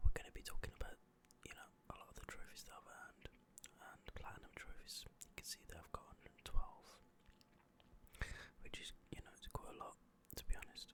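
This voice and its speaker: A man whispers in a relaxed tone at a fairly quick pace, with big swings in loudness and long, frequent pauses. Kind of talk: ASMR whisper ramble. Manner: whispered, quiet, relaxed.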